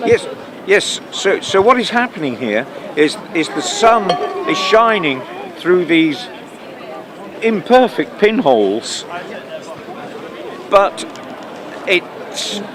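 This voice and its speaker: Over noticeable background noise, a man speaks at a very slow pace with long, frequent pauses. His pitch is high. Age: 70s. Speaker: retired environmental scientist. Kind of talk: street interview. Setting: outdoors in a park. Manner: halting, many repetitions.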